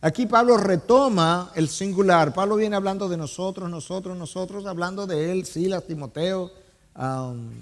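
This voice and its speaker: The man's voice is high-pitched with ordinary pitch variation. He speaks at a moderate pace. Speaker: pastor preaching a sermon. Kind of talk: sermon preaching to a congregation.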